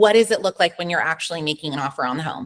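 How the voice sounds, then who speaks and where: The speaker is a woman with an animated tone. Her intonation is lively. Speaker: real estate agent. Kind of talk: live webinar Q&A presentation. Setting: video call.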